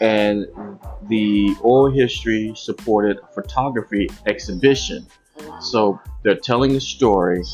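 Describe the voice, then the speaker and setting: Over music in the background, a man speaks very slowly at a fairly low pitch. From Arkansas. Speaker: humanities executive director and educator. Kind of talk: interview answer.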